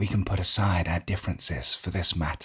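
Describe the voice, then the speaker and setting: A man puts on a character voice, pitched very deep and low. He talks at a fairly quick pace. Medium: read story. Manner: calm, measured.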